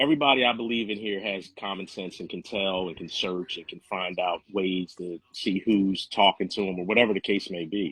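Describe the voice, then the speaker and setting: A man speaks at a fairly quick pace with hardly any pauses, in a normal speaking voice. His pitch is fairly low with ordinary variation, and his loudness swings widely. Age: 60s. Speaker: discussion participant. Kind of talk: casual chat. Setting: virtual reality social room.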